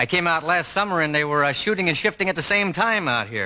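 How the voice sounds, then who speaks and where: A man talks very fast in an American accent. His pitch is high and his tone bright and sharp. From Texas (Lubbock). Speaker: stand-up comedian. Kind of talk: stand-up.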